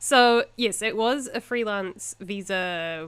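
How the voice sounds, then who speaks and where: A woman with a New Zealand accent and ordinary pitch variation, in a very clean recording with a silent background. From New Zealand, Invercargill. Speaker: podcast co-host. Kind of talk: casual chat.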